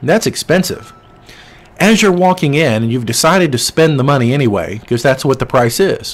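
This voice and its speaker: A man talking at a fairly quick pace with lively intonation. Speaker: insurance sales trainer. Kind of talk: training lecture with storytelling. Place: home room. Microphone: studio mic.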